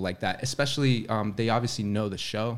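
The speaker has an American accent and ordinary pitch variation. The recording is very clean, with a silent background. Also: man. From Orlando, Florida. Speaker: actor. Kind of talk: casual chat.

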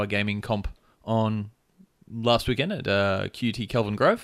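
A man talks very slowly with an Australian accent and a fairly low pitch. His intonation is monotone and flat, in a very clean recording with a silent background. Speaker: podcast host. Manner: loud, tends to yell.

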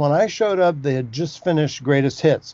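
Delivered in a normal speaking voice with an American accent, the speech moves at a fairly quick pace with lively intonation. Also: man. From US West Coast. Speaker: book editor. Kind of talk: interview.

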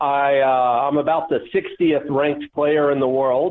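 With an American accent, a man has a plain, everyday voice, fairly high in pitch with ordinary pitch variation. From Atlanta, US South. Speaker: competitive pinball player. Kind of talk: interview.

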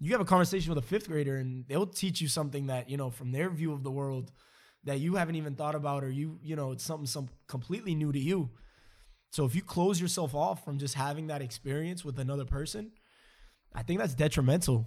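Very fast and somewhat breathy, a man speaks at a fairly high pitch with ordinary pitch variation. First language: not English. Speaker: podcast host. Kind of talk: casual conversation.

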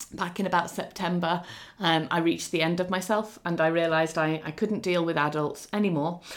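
A woman with a fairly low pitch speaks in an English accent. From England. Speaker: children's author. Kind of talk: interview. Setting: video call.

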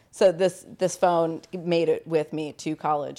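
A woman with an American accent has an unremarkable speaking voice, fairly low in pitch with fairly even intonation. The recording is very clean, with a silent background. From Long Island, New York, then North Carolina from age ten. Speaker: fitness trainer and nonprofit worker. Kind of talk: casual interview, life story. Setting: home living room with dogs.

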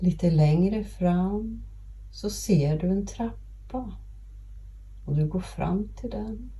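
Over noticeable background noise, a woman speaks in a calm, soothing tone at a very slow pace, with long, frequent pauses. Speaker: podcast host and grief guide. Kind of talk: guided meditation. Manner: slow, calm, soothing, gentle pacing with long pauses; warm, empathetic, reassuring.

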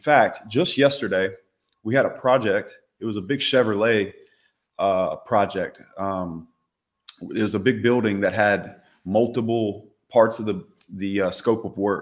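Fairly low-pitched male voice with a Southern US accent, fairly slow and fairly even, with long, frequent pauses. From US South, Louisiana. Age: 30s. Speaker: entrepreneur. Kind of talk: casual chat.

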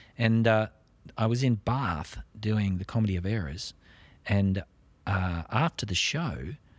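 The speaker has an Australian accent and ordinary pitch variation, heard on a very clean recording with a silent background. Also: man. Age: 50s. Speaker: stage actor. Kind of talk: casual interview.

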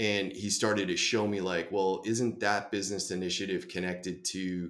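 In a very clean recording with a silent background, a man with an American accent speaks at a moderate pace in an unremarkable speaking voice, fairly low in pitch, with fairly even intonation. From Boston. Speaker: enterprise software sales executive. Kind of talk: podcast interview.

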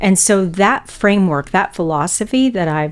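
This is an ordinary speaking voice from a woman. She keeps a moderate pace with ordinary pitch variation. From Texas. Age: 50s. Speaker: bank executive. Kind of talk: interview.

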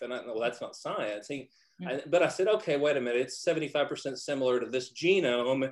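A man is speaking. He has a Texan accent. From Texas. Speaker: physician. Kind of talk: roundtable discussion.

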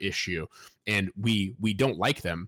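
A man's fairly low pitch at a moderate pace with ordinary pitch variation, in a dry, close sound with no echo and a very clean recording with a silent background. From US Midwest (Fort Wayne, Indiana). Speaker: author and editor. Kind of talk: interview.

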